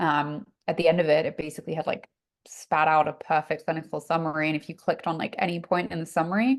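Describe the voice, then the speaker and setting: In an English accent, a woman with a very deep, low voice talks at a very fast pace with fairly even intonation against a quiet background. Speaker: health-tech investor, former reporter. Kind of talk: fireside chat interview. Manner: casual, many fillers.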